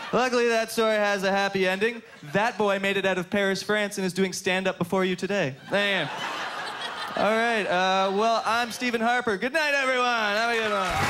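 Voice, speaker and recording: In a raised, projected voice, a man talks with hardly any pauses, fairly even intonation and very even loudness. Noticeable background noise sits behind him. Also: moderate pace. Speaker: stand-up comedian. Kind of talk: stand-up comedy routine. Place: stage. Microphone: handheld.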